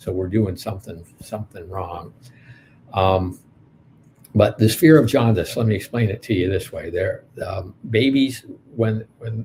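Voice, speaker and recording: A man with an American accent, a fairly low pitch, a dark, mellow tone and a somewhat breathy voice, speaking at a fairly slow pace with long, frequent pauses. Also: ordinary pitch variation. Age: 60s. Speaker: pediatrician and anthropologist. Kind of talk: lecture. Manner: halting, many fillers.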